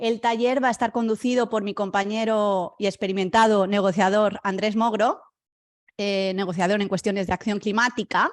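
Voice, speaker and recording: A woman's plain, everyday voice at a moderate pace, with fairly even intonation and a quiet background. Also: medium pitch for a woman. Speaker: webinar moderator. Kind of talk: formal introduction.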